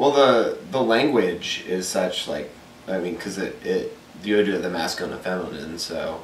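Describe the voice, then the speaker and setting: Recorded with audible room echo and noticeable background noise, a man with an American accent speaks at a moderate pace. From Texas, Dallas. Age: 20s. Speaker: college student. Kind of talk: interview. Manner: halting.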